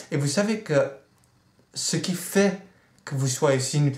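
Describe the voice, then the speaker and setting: Intonation is lively and the voice somewhat breathy. The pace is very slow. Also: man. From Netherlands. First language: Dutch (speaking French). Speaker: vlogger. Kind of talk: video blog rant.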